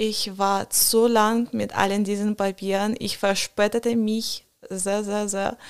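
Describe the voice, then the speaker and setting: A woman speaks very slowly with a non-native accent and a monotone, flat intonation. The recording is very clean, with a silent background. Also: medium pitch for a woman. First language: not German (speaking German). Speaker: student at a preparatory college. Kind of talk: casual interview chat. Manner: halting, many fillers.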